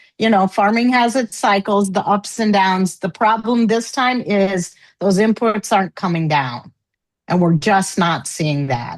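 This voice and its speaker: Against a quiet background, a woman with an ordinary speaking voice talks at a fairly slow pace with lively intonation. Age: 60s. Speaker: farmer. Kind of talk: panel discussion. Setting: live panel.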